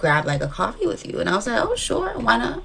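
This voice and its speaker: Noticeable background noise fills the recording. A woman talks, and audible room echo trails her voice. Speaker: dating show contestant. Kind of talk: casual chat. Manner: rambling hesitant with many fillers.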